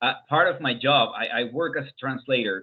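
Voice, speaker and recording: With a Spanish accent, a man speaks at a moderate pace and a medium pitch, with ordinary pitch variation. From Venezuela. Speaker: interviewer, translator. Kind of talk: interview conversation.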